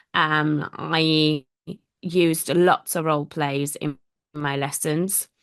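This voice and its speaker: This woman's voice is very deep and low. Behind her, the background stays quiet. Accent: Italian. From Italy. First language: Italian. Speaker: language teacher. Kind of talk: interview conversation. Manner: hesitant with fillers.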